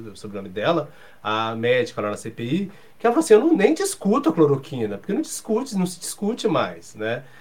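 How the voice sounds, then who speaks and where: A man's somewhat breathy voice, fairly quick, with very wide pitch swings. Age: 40s. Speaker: journalist and professor. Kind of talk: casual chat.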